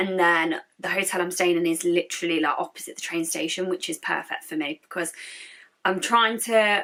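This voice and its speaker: With an English accent, a woman talks at a fairly quick pace in a fairly low pitch with ordinary variation. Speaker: YouTuber. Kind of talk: vlog. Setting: hotel room.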